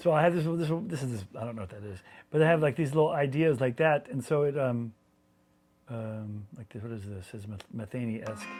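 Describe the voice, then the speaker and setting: A man with an American accent and a plain, everyday voice talks fairly quickly at a medium pitch. His intonation is lively, with big swings in loudness. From US South (Alabama and Georgia). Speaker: guitarist. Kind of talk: interview. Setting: at home.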